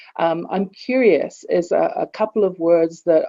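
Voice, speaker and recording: Ordinary pitch variation in an English accent. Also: woman. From England. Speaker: executive coach and author. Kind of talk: podcast interview.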